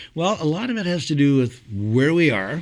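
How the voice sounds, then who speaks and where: Here a man speaks in a Montreal accent. His pitch varies in an ordinary way. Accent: Canadian English (Montreal). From Montreal, Quebec. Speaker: singer and entertainer. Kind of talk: casual interview.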